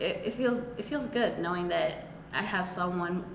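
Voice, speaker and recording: A non-native accent with audible room echo and noticeable background noise. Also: woman. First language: not English. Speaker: college student. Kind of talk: testimony.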